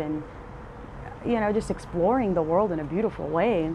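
Audible room echo and noticeable background noise around a woman's fairly low-pitched voice. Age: 30s. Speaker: podcast host. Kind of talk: solo reflective monologue. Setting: outdoors on front porch.

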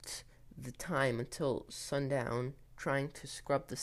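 The reading comes out in an unforced voice.

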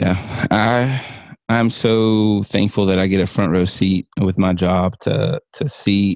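Recorded very cleanly against a silent background, with a dry, close sound and no echo, a man speaks in an unremarkable speaking voice at a fairly low pitch with ordinary pitch variation. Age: 30s. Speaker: licensed professional counselor. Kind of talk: casual interview.

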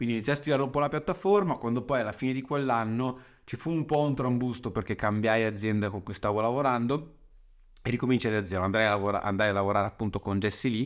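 A man of medium pitch talks fairly quickly with ordinary pitch variation on a very clean recording with a silent background. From Lombardy, northern Italy (Saronno). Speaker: podcast marketing coach. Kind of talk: monologue podcast. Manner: casual, frequent hesitations and repetitions.

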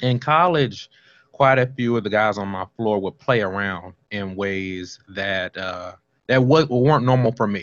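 A man's fairly low, fairly slow American accent in a normal speaking voice, with ordinary pitch variation. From Washington, D.C. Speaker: author. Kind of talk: interview.

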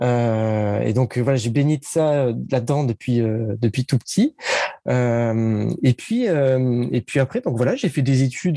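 Very slowly, a man talks at a medium pitch with ordinary pitch variation, the sound dry and close with no echo, though noticeable background noise is present. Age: 30s. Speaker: digital marketing consultant. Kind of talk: interview.

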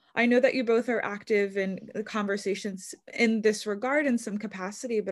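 This woman has a plain, everyday voice. She talks at a moderate pace with fairly even intonation. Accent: American. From New York. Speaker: podcast host. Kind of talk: casual interview. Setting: video call.

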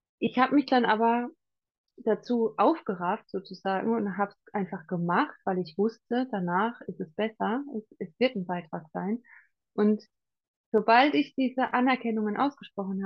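Somewhat breathy, this voice keeps a moderate pace. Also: woman. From Palatinate, Germany. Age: 40s. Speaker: coach. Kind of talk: interview.

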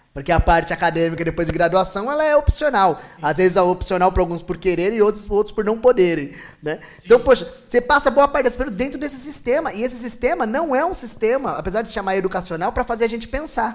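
Over background music, a man with a high voice talks very fast with hardly any pauses, his intonation lively and his loudness swinging widely. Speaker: pedagogue and events worker. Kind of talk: casual chat.

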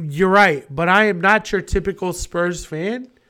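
The speaker sounds animated and moves at a fairly slow pace. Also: man. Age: 30s. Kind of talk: casual chat while drinking. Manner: animated, casual, profane.

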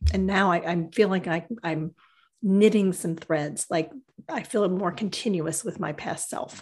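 Somewhat breathy and at a medium pitch, a woman speaks at a fairly slow pace with ordinary pitch variation. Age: 50s. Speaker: podcast co-host, writer and energy healer. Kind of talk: casual conversation.

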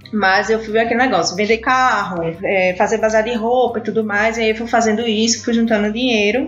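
A woman speaks with a Recife accent. Audible room echo and noticeable background noise are present. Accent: Recife (northeastern Brazilian). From Brazil, Recife (Pernambuco). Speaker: immigrant sharing experience. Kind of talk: casual interview chat. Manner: animated.

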